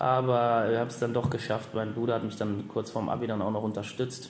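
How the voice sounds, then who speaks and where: A man at a moderate pace, with audible room echo. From Germany, Lower Rhine (Wesel). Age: 30s. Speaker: ice hockey sports director. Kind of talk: interview. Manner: halting.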